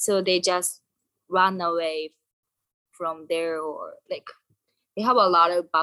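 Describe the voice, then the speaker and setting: A woman's fairly low voice with a Japanese accent, bright and sharp in tone, fairly even in intonation, at a very slow pace with long, frequent pauses, in a dry, close sound with no echo. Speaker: guest. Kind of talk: casual chat. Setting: video call.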